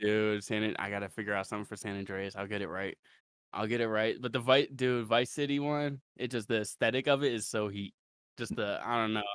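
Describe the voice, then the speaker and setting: Here is a man with an ordinary speaking voice at a medium pitch. He talks at a fairly quick pace with fairly even intonation. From Ohio, Ravenna. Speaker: underground rapper. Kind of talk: casual interview chat.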